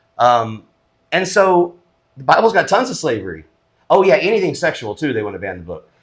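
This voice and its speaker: A fairly high-pitched man speaks fairly quickly with vocal fry, very wide pitch swings and big swings in loudness. Long pauses come often. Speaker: podcast co-host. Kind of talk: casual chat. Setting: home studio.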